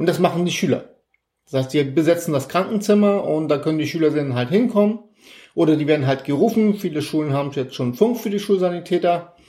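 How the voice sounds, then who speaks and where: Very fast delivery with ordinary pitch variation and a dark, mellow tone. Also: man, high pitch for a man. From northern Germany (Elmshorn, Schleswig-Holstein). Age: 50s. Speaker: Red Cross volunteer. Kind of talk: interview.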